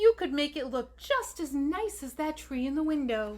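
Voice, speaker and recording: A woman's high, put-on character voice in a gentle tone, with light background noise. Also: moderate pace. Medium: read story. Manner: gentle, kind.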